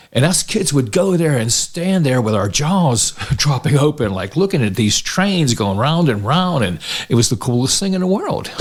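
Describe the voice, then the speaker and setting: Amid noticeable background noise, a man with a fairly high pitch talks at a moderate pace with very wide pitch swings. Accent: American. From Pittsburgh, Lawrenceville. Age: 60s. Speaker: Santa Claus performer. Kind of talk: casual interview conversation. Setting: in-person podcast recording.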